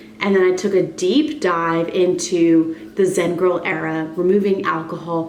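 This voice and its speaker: A woman speaks at a medium pitch with ordinary pitch variation, with audible room echo and noticeable background noise. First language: Spanish. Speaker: wellness and fitness coach vlogger. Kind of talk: casual vlog monologue.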